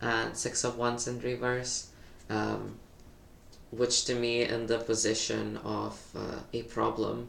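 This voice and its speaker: Audible room echo fills the space around the speaker. He is a man talking at a very slow pace. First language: not English. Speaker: tarot reader. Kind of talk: tarot reading monologue. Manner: hesitant, many fillers.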